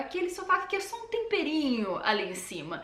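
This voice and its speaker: A woman with a São Paulo accent speaks at a fairly quick pace, with audible room echo and noticeable background noise. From Brazil, São Paulo. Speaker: language learning youtuber. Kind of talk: tutorial. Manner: casual, conversational.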